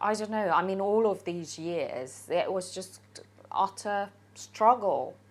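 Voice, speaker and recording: A woman speaks with a non-native accent at a medium pitch. She goes very slowly, with ordinary pitch variation. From Hungary. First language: Hungarian. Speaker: interviewee telling life story. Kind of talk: personal testimony. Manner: halting, repeats words.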